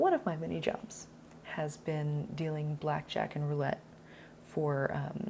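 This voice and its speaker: Quiet and somewhat breathy, a woman speaks in a very deep, low pitch. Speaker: actor. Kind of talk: casual talk to camera. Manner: quiet, polite volume.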